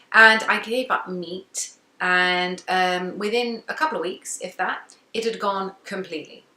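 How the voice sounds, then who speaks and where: A woman's bright, sharp voice at medium pitch, fairly slow, with ordinary pitch variation. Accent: English. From England. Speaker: vlogger. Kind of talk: casual chat.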